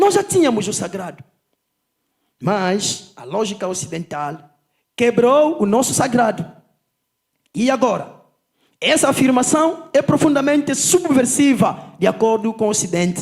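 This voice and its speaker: A man with a Kikongo accent and an extremely high pitch, his pitch swinging very widely, at a fairly slow pace with long, frequent pauses. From Angola, Zaire province. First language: Kikongo (speaking Portuguese). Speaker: politician and lecturer. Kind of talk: conference lecture. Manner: unhurried.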